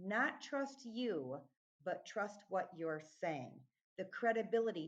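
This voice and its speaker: This woman speaks at a medium pitch and a fairly slow pace, her pitch swinging very widely. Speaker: accent training company founder. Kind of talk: podcast interview.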